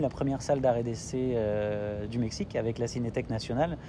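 A man speaks at a moderate pace with a medium pitch, ordinary pitch variation, and a dark, mellow tone. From Italy (French family). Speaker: entrepreneur in film and culture. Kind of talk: interview.

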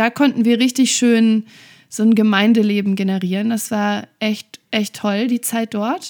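Fairly slow and fairly high-pitched, a woman talks in an ordinary speaking voice with fairly even intonation. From western Germany, Oberbergisches Land (North Rhine-Westphalia). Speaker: church pastor. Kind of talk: casual interview.

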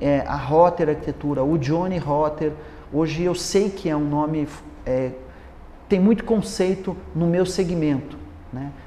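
A man speaks at a fairly high pitch with ordinary pitch variation. He leaves long, frequent pauses over noticeable background noise. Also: fairly slow pace. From Paraná, Brazil. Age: 50s. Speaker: architect. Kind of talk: interview.

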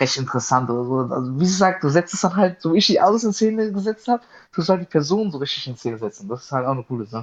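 The pitch swings very widely. A man speaks at a very fast pace. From southern Hesse, Germany (Darmstadt). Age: 20s. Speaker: car photographer. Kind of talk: casual chat.

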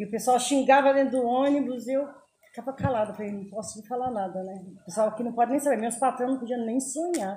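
A woman's high voice at a fairly quick pace, with ordinary pitch variation and big swings in loudness. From São Paulo, Brazil. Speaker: community leader. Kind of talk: interview.

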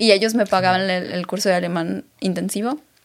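A woman talks at a medium pitch with vocal fry. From Mexico, Aguascalientes. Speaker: beauty pageant winner and influencer. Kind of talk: interview.

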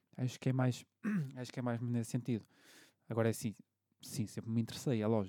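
A man with a European Portuguese accent talks at a very fast pace in a monotone, flat intonation. Long, frequent pauses break up his speech. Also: medium pitch for a man. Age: 30s. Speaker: podcast host, bartender. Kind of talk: casual chat.

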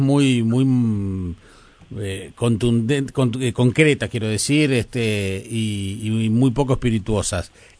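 Against a quiet background, a man of medium pitch speaks at a very slow pace with ordinary pitch variation. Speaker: radio host. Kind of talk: radio interview.

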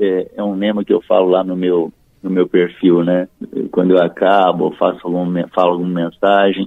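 A man with a very deep, low pitch talks at a moderate pace in a monotone, flat intonation. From Minas Gerais, Triângulo Mineiro (Uberlândia). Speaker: tax auditor. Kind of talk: casual interview. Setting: phone call. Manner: halting.

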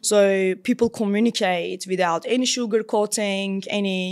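In a Turkish accent, a woman at a medium pitch speaks with fairly even intonation. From Istanbul, Turkey. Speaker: startup founder and CEO. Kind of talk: interview conversation.

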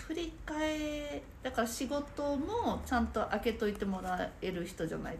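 Her pitch swings very widely as this woman speaks. Audible room echo and noticeable background noise fill the recording. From Saitama. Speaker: nerikiri sweets instructor. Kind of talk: casual interview chat.

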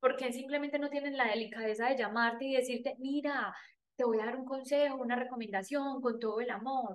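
Woman with a high pitch in a paisa Colombian accent, at a fairly quick pace. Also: fairly even intonation. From Colombia, Antioquia (paisa). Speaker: podcast host and life coach. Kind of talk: personal storytelling monologue.

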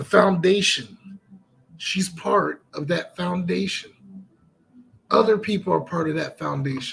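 In a slight Southern US accent, the speaker talks fairly slowly with an animated tone. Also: man. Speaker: podcast and stream host. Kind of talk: casual chat. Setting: studio.

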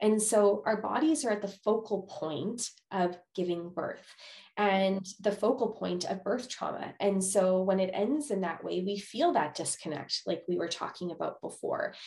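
Somewhat breathy speech at a fairly slow pace, with hardly any pauses and ordinary pitch variation. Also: woman, medium pitch for a woman. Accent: Canadian. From Manitoba, Canada. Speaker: psychologist. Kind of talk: interview.

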